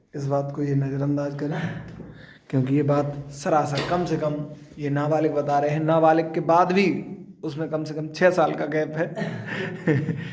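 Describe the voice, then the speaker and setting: Noticeable background noise and audible room echo surround a man whose fairly high voice stays monotone and flat. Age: 20s. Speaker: vlogger showing a gym. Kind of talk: casual vlog banter.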